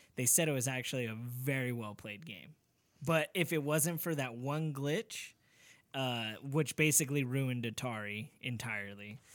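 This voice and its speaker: An ordinary speaking voice moves at a moderate pace, its pitch variation ordinary. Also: man, medium pitch for a man. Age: 30s. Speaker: podcast co-host and musician. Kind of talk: casual chat.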